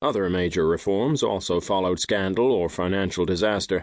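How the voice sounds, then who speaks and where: A man speaks in a normal speaking voice at a fairly low pitch. His pace is fairly quick, and the background is quiet. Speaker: audiobook narrator. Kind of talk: audiobook reading of nonfiction. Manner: formal; measured.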